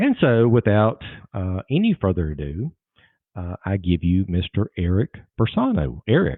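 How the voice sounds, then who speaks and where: A man's fairly low voice in a Southern US accent, with lively intonation at a moderate pace. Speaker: lawyer and podcast host. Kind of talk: podcast interview.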